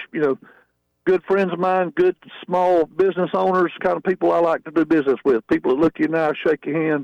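A man with a Southern US accent and a high pitch, at a fairly quick pace, with a dry, close sound and no echo. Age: 50s. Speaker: drag racer. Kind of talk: radio interview.

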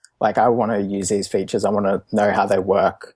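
Here a man with an Australian accent speaks at a fairly low pitch. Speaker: open source developer. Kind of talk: casual chat.

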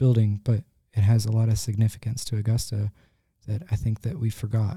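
A man's medium-pitched, somewhat breathy voice with an American accent and a dark, mellow tone at a moderate pace, dry and close with no echo on a very clean recording with a silent background. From US Midwest (Ohio). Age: 30s. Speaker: muralist. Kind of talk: casual interview. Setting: studio.

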